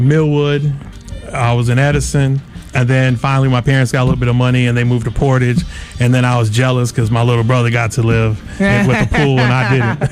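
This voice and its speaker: A man at medium pitch talks at a very fast pace with fairly even intonation. His loudness stays very even, with music in the background. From Kalamazoo, Michigan, US. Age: 40s. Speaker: mayoral candidate and artist. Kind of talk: interview.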